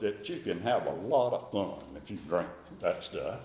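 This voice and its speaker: The speaker has a North Carolina accent and a fairly slow pace. Audible room echo is present. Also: man. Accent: Southern US, North Carolina. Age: 80s+. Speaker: recovering alcoholic sharing his story. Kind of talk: recovery meeting talk. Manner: halting, with repetitions.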